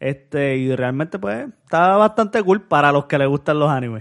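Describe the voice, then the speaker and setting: An ordinary speaking voice from a man, fairly high in pitch, at a moderate pace with ordinary pitch variation over a quiet background. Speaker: podcast co-host. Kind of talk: casual chat.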